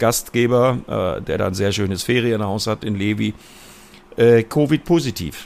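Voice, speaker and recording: With ordinary pitch variation and a medium pitch, a man talks at a fairly slow pace. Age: 50s. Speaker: motorsport commentator. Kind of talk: casual chat.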